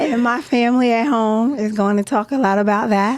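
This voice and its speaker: With a plain, everyday voice, a woman speaks at a moderate pace in a fairly high pitch with ordinary pitch variation. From Philadelphia, US. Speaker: podcast co-host. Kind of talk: casual chat.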